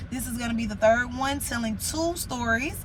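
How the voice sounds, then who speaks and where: Fairly high-pitched and fairly quick, a woman speaks with ordinary pitch variation amid audible room echo and background music. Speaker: storytelling vlogger. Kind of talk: storytime vlog. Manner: fast; animated.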